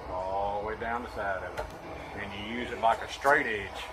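The man's voice comes with noticeable background noise behind it. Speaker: truck driving instructor. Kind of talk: tutorial explanation. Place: street. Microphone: phone near.

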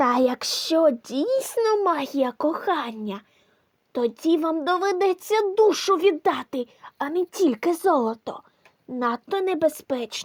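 This put-on character voice uses a high pitch and a fairly slow pace. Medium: audio drama.

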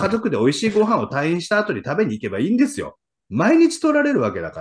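Very fast and animated, a man's high-pitched voice moves through very wide pitch swings. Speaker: real estate investor and former insurance salesman; former insurance salesman. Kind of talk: casual chat. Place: home room. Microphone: video call.

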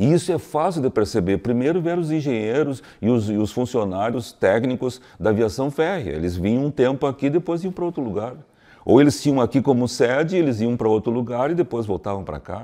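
A man talks at a fairly quick pace with hardly any pauses, over a quiet background. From Santa Maria, Rio Grande do Sul, Brazil; Rio Grande do Sul, Brazil. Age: 60s. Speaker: cultural committee coordinator; interview guest. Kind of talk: interview. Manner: halting, many repetitions. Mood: calm, reflective, explanatory. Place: hall.

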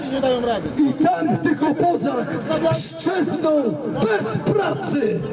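A man speaks with a Polish accent over loud background noise. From Poland. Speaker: protest speaker. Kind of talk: protest speech to a crowd.

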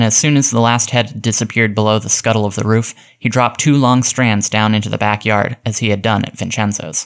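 Fairly even intonation in plain reading aloud

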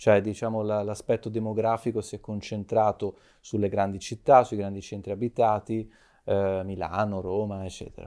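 A man's fairly low voice has a dark, mellow tone and monotone, flat intonation. His loudness swings widely against a quiet background. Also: moderate pace. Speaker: media director and commentator; commentator. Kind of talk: talk show commentary. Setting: studio. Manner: halting. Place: studio. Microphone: lapel.

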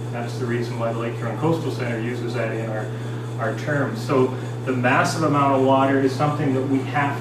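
A man speaks at a fairly quick pace amid loud background noise and audible room echo. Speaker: presenter. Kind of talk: lecture. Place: hall. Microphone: camera far.

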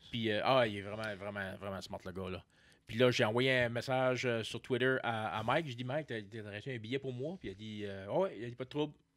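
A man talks fairly quickly with ordinary pitch variation over a quiet background. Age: 40s. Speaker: comedian; podcast guest or host. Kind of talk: casual chat. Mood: relaxed, joking. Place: studio. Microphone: studio mic.

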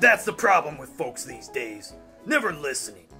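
Clear music plays in the background. A man performs a put-on character voice with a high pitch. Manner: rambling, manic storytelling, gleefully violent.

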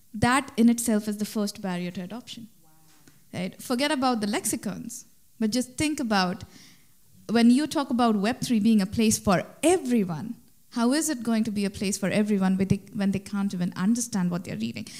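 A woman's somewhat breathy voice comes through over a quiet background. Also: ordinary pitch variation, moderate pace. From India. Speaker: startup founder; speaker. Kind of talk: conference panel discussion. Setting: stage with live audience. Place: stage.

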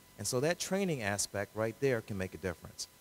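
Light background noise sits behind a man talking at a very fast pace. His pitch is fairly low. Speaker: lawyer, judicial candidate; lawyer, candidate. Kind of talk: candidate forum Q&A. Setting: public event with audience, live radio broadcast. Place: hall. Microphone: handheld.

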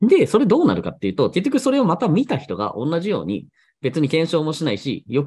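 A man talks at a very fast pace with vocal fry. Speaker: blog and SEO YouTuber. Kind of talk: solo monologue, casual explainer video. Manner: conversational, chatty. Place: home room.

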